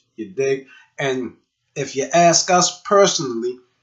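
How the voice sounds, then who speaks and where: In a South Carolina Lowcountry accent, a man speaks at a fairly slow pace and high pitch with ordinary pitch variation. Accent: Gullah Geechee, South Carolina Lowcountry. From Charleston, South Carolina. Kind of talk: casual talk to camera. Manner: casual, slangy.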